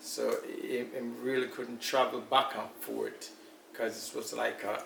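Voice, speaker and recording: A man is speaking. There is audible room echo and noticeable background noise. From Jamaica, Kingston. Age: 60s. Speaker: elder interviewee. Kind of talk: interview.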